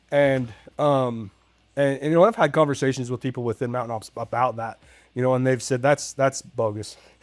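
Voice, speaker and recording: A man's medium-pitched voice moves at a fairly quick pace. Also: fairly even intonation, very clean recording, silent background. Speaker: firefighter and fitness challenge winner. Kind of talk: casual interview chat. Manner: loud; halting, many repetitions.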